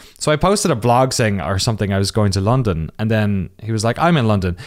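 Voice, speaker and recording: This man speaks in a southern Irish accent, his pitch fairly low and his pace fairly quick. His intonation is lively, and the recording is very clean with a silent background. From Ireland, Waterford (southeast). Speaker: documentary creator, games journalist. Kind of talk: interview.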